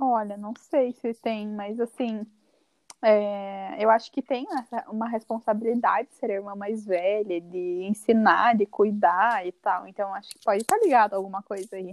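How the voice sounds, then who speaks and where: A woman with a southern Brazilian accent speaks at a moderate pace in a medium pitch, her intonation fairly even but her loudness swinging widely, in a dry, close recording with no echo. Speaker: podcast co-host. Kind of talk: casual chat.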